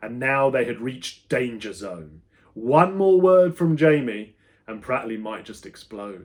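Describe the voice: Speaking slowly at a medium pitch, a man uses lively intonation.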